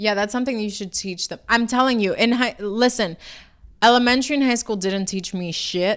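With a New York accent, a woman speaks at a fairly quick pace, her fairly high pitch showing ordinary variation, on a very clean recording with a silent background. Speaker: podcast co-host. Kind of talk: casual chat.

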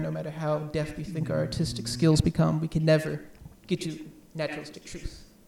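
A man talks at a very fast pace in a fairly high pitch. Noticeable background noise is present. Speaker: podcast host. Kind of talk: casual chat. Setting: home, recording at kitchen table.

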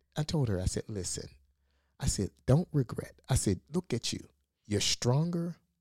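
A man at a medium pitch, somewhat breathy, makes very wide pitch swings in a dry, close sound with no echo and a very clean recording with a silent background. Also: moderate pace. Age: 50s. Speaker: podcast co-host, pastor. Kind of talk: casual chat. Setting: studio.

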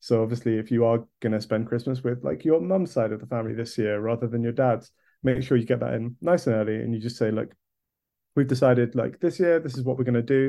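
A man speaks at a very fast pace with a southern English accent. His pitch sits in the medium range. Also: ordinary pitch variation. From England, Kent. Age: 20s. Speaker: video producer. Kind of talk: podcast interview.

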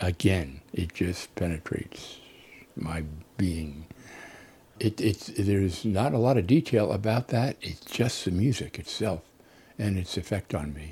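A man with an American accent speaks in a very deep, low, somewhat breathy voice with a dark, mellow tone, lively intonation, a fairly slow pace and long, frequent pauses. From New Jersey, US. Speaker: interviewee sharing memories. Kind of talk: testimony.

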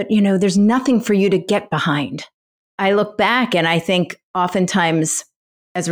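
In a very clean recording with a silent background, a woman talks with fairly even intonation. She speaks with an American accent. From Philadelphia. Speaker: nonprofit founder. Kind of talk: interview.

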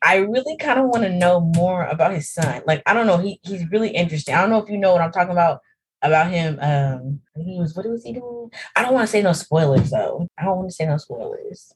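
Very fast and somewhat breathy, a woman speaks with lively intonation. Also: medium pitch for a woman. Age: 20s. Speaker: podcast co-host. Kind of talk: casual chat.

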